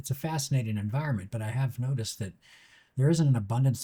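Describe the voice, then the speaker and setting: Over a silent background in a very clean recording, a man speaks very fast in a dark, mellow, somewhat breathy voice at a medium pitch with ordinary variation. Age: 60s. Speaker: TV director and YouTube host. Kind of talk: scripted monologue.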